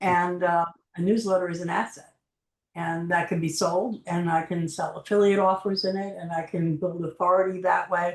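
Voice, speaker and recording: Intonation stays monotone, flat throughout. The delivery, in an American accent, runs at a moderate pace. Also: woman. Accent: New York accent, comes out sometimes. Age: 60s. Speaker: marketing agency owner and coach. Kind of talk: interview. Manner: halting, many fillers.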